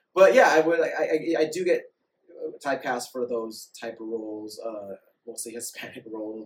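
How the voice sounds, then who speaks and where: A moderate pace with ordinary pitch variation, in a Californian accent. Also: man, medium pitch for a man. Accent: Californian American. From San Diego. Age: 30s. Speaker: actor and model. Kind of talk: casual chat.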